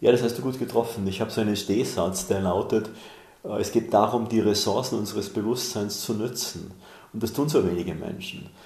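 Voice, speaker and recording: A man speaks in a fairly low, somewhat breathy voice. His intonation stays fairly even, and room echo is audible. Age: 60s. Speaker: author and mentor. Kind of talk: interview.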